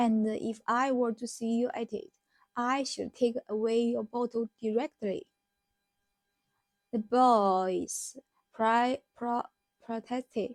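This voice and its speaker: At a very slow pace, a woman talks at a fairly high pitch with fairly even intonation and long, frequent pauses. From China. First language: Chinese. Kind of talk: novel reading aloud.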